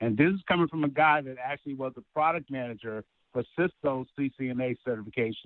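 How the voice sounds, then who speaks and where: A man speaks in a normal speaking voice at a medium pitch. He moves at a fairly quick pace with ordinary pitch variation. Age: 60s. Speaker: caller, IT professional. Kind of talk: phone-in testimonial. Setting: phone call.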